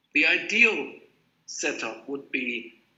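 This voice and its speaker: A man is heard with audible room echo. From Greece (German family, also Japan and France). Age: 50s. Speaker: graphic designer. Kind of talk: lecture. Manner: hesitant, with fillers.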